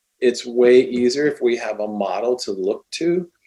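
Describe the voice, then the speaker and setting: At a fairly slow pace, a man delivers his words. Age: 60s. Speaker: speaker and teacher. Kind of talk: podcast interview. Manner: halting, many false starts.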